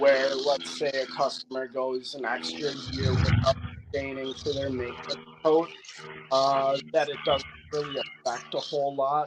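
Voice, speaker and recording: A man with an American accent and a fairly high pitch, ordinary pitch variation, a moderate pace and noticeable background noise. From US Upper Midwest, north-central Wisconsin. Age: 30s. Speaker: wood restoration contractor. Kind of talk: casual interview.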